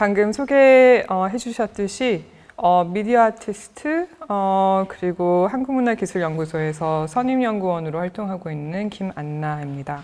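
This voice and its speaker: In an American accent, a woman speaks at a fairly slow pace with a medium pitch and lively intonation. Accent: non-native Korean, Korean American. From United States (Korean American, emigrated from Busan as a child). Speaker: media artist and researcher, lecturer. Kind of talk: lecture. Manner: halting, many fillers.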